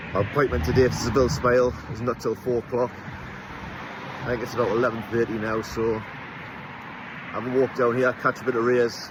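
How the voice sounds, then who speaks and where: Against noticeable background noise, a man speaks in a monotone, flat intonation with an English accent. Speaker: travel vlogger. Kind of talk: casual vlog narration. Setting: outdoors. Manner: casual, chatty.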